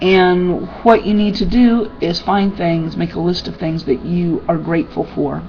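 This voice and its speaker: Ordinary pitch variation at a fairly slow pace with hardly any pauses, music in the background. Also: woman, fairly low pitch for a woman. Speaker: personal development vlogger. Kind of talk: casual webcam talk.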